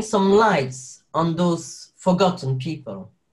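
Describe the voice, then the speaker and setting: A high-pitched male voice with a French accent and ordinary pitch variation. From Belgium, French-speaking Wallonia, Sicilian parents. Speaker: actor and carer. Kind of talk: interview. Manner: halting, many fillers and restarts.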